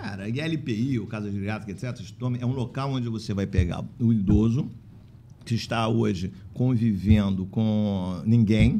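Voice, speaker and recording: A man's dark, mellow voice, fairly low in pitch with ordinary pitch variation, shows big swings in loudness amid audible room echo. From Italy. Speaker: physician and care-home association leader. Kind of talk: casual interview chat. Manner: animated; fast.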